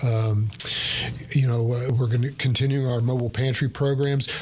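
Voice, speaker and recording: Over noticeable background noise, a man with a Texan accent talks fairly quickly at a medium pitch with fairly even intonation. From East Texas, Bowie County. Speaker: food bank CEO. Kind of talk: radio interview. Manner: hesitant, many fillers.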